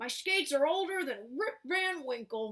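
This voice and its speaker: A put-on character voice, high-pitched, at a moderate pace. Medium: read story.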